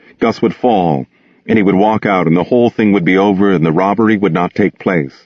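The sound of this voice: An unforced voice reading, pitch shifting in an ordinary way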